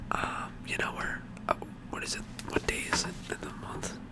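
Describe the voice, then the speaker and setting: Whispering in a relaxed tone, a man speaks at a fairly slow pace over noticeable background noise. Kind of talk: whispered ASMR ramble to camera. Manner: whispered, relaxed, casual.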